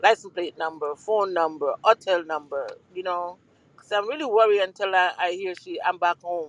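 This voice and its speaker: With a Jamaican accent, the speaker keeps a moderate pace and ordinary pitch variation. The sound is dry and close, with no echo. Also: woman. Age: 60s. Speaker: mother of a guest. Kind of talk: casual chat. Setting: online audio room.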